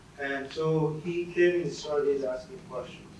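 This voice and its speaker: A fairly high-pitched man at a fairly slow pace, with audible room echo and noticeable background noise. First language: not English. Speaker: former student. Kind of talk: panel talk.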